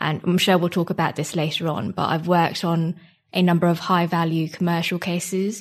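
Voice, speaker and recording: Against a quiet background, a woman speaks fairly quickly in a fairly low pitch, somewhat breathy, with monotone, flat intonation. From Singapore. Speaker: barrister. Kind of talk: interview.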